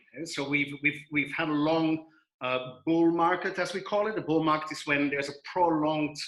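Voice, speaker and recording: In a Belgian accent, a man with a fairly high voice speaks at a moderate pace. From Belgium. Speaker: financial adviser. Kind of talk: webinar presentation. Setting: video call. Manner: halting with many fillers.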